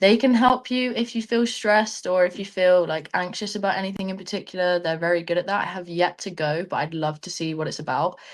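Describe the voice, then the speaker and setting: In an English accent, a woman talks at a fairly quick pace with hardly any pauses and ordinary pitch variation. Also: medium pitch for a woman. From England. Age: young. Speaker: student athlete, rugby player. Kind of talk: webinar interview. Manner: casual, chatty.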